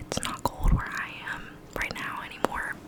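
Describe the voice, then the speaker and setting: There's noticeable noise in the background. Through it, a woman whispers. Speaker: ASMR creator. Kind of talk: casual talk to camera. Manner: whispered.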